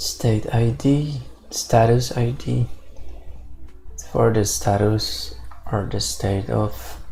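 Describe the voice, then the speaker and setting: With music in the background and audible room echo, a man with a non-native accent speaks at a very slow pace, taking long, frequent pauses. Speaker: programmer streamer. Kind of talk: live coding tutorial. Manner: halting.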